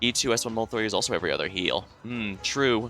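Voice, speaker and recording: Music plays in the background while a man speaks at a fairly quick pace in a medium pitch, with fairly even intonation. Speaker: streamer. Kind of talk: casual gameplay commentary.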